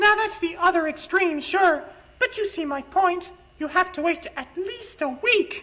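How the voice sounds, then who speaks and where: A woman's squeaky, put-on character voice at an extremely high pitch, deadpan in tone, with ordinary pitch variation and a moderate pace. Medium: comedy sketch. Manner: earnest, deadpan.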